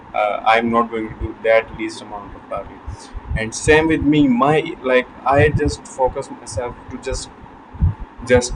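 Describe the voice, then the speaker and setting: Over noticeable background noise, a man with a non-native accent speaks fairly slowly at a medium pitch with fairly even intonation. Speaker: self-improvement vlogger. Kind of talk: motivational talk to camera. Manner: halting, repeats words.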